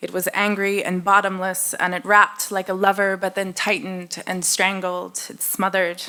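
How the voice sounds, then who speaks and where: A woman with an American accent talks at a moderate pace and medium pitch, her tone bright and sharp and her intonation monotone and flat. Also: big swings in loudness. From United States. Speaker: poet. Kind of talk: poetry reading. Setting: stage with audience.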